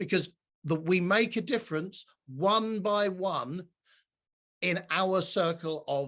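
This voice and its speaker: A loud man's voice, high in pitch, with ordinary pitch variation. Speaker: diversity and allyship speaker. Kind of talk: online presentation. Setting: video call from home.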